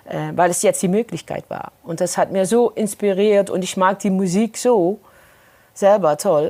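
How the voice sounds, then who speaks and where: With a dark, mellow tone, a woman speaks at medium pitch and a moderate pace, her intonation fairly even. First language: Dutch (Maastricht dialect) (speaking German). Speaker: singer. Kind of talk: interview.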